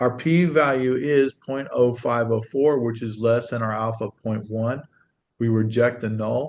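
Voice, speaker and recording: A plain, everyday voice from a man, medium in pitch, at a fairly slow pace with fairly even intonation. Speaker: statistics teacher. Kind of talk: tutorial.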